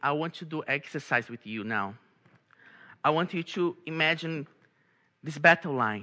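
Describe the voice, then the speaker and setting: A man with a Brazilian accent, a fairly high pitch and a bright, sharp tone, at a moderate pace with lively intonation, big swings in loudness, and long, frequent pauses. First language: Portuguese. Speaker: lay preacher. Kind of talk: sermon. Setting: church. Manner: halting, repeats words.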